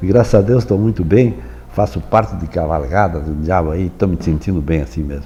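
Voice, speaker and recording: A man with a southern Brazilian accent, very deep and low in pitch, lively in intonation and fairly quick, with noticeable background noise. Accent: gaúcho Brazilian Portuguese. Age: 80s+. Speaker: folklore institute president. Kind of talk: interview. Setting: studio. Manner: halting.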